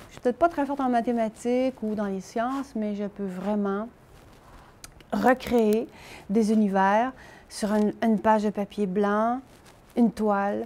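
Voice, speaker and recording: Her voice is fairly high, with big swings in loudness. The woman speaks at a fairly slow pace with long, frequent pauses. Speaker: painter. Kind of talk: interview testimony. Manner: animated.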